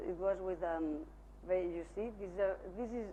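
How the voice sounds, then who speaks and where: With a Spanish accent, a woman talks at a moderate pace and a medium pitch with fairly even intonation, over noticeable background noise and audible room echo. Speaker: architect presenting own work. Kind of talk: lecture. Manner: halting, many fillers.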